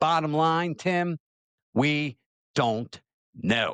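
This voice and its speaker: A speaker with an American accent talks at a fairly slow pace with very wide pitch swings, in a dry, close sound with no echo over a quiet background. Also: man. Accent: slight Southern-sounding. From Maryland. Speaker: talk show host. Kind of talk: opinion talk show, reading viewer comments.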